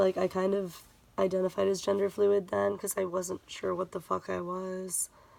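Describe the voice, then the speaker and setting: The speaker is a woman with monotone, flat intonation. She keeps a moderate pace. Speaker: vlogger. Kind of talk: casual vlog update. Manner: speaking lower than usual; hesitant, many fillers.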